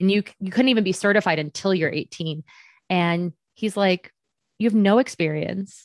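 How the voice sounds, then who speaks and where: A woman's unremarkable speaking voice at a medium pitch and moderate pace, with ordinary pitch variation and a dry, close sound with no echo. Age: 30s. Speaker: fitness trainer and transformational coach. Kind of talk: casual interview chat.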